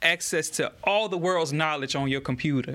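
Captured on a very clean recording with a silent background, a man with a Louisiana accent speaks in a bright, sharp tone at a moderate pace with ordinary pitch variation. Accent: Louisiana Southern American. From US South, Baton Rouge, Louisiana. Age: 30s. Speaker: political candidate and community activist. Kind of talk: interview. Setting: church studio. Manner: halting, frequent repetitions.

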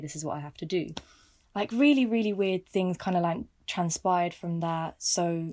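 A woman speaks at a fairly quick pace, her pitch fairly low, in an ordinary speaking voice. The recording is very clean, with a silent background. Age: 20s. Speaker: listener guest. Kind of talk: casual chat.

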